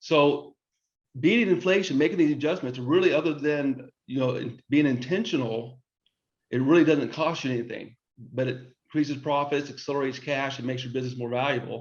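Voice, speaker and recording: This man speaks with a Texan accent at a fairly high pitch. His pitch varies in an ordinary way. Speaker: business consultant and webinar host. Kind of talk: webinar presentation. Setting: online webinar. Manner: halting, frequent repetitions and restarts.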